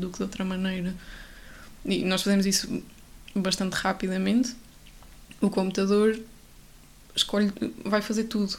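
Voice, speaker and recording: A somewhat breathy voice at a moderate pace. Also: woman. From Portugal, Coimbra. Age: 20s. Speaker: architecture student. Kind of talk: casual chat.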